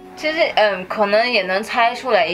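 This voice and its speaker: A woman's lively intonation over faint music in the background. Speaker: video co-host. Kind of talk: casual podcast chat. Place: home room.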